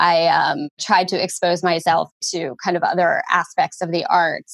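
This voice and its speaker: A woman with an American accent, in a dry, close sound without echo. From northern New Jersey, US. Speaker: documentary producer. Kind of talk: interview. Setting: remote call.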